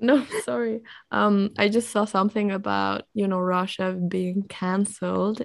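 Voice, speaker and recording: Someone with a non-native accent talks at a fairly slow pace with ordinary pitch variation. The background is quiet. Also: woman. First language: not English. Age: 20s. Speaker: podcast co-host. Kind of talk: casual chat.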